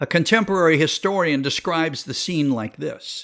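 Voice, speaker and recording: The man's pitch moves with ordinary variation as he talks. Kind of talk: history documentary narration. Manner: solemn, measured, dramatic storytelling; formal, devotional, ending in prayer.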